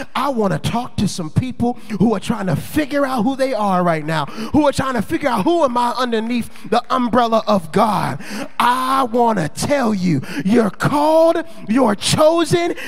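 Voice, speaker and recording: Over noticeable background noise and audible room echo, a man with an extremely high pitch talks at a moderate pace in an animated tone with lively intonation. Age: 20s. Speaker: pastor. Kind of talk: sermon.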